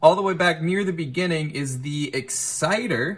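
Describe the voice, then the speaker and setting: An animated man's voice, fairly high in pitch, with ordinary pitch variation. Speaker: music gear youtuber. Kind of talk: tutorial.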